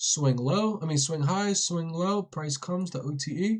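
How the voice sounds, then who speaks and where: A man has an unremarkable speaking voice, pitched fairly high. He talks at a fairly slow pace with ordinary pitch variation. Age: 20s. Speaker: day trading educator. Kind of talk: live-stream trading tutorial. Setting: live TikTok stream. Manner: casual, slangy.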